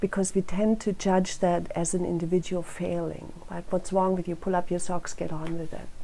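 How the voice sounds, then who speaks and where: Speaking with hardly any pauses, a woman uses a fairly low pitch, a dark, mellow tone and monotone, flat intonation. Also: moderate pace. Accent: German. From Germany. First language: German. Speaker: crime prevention council director. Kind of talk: speech at a rally. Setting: rally.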